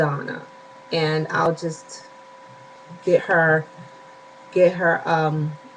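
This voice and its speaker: Over noticeable background noise, a woman speaks at a very slow pace in a fairly low pitch. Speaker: weight loss surgery vlogger. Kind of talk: casual vlog update. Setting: home bedroom.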